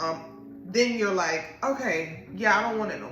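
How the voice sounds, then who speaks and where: A woman speaks with audible room echo. There is noticeable background noise too. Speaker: podcast host and tarot reader. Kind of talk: spiritual reading monologue. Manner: casual.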